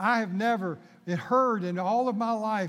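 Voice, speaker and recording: A man's voice with ordinary pitch variation. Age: 60s. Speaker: pastor. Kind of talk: sermon. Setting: church.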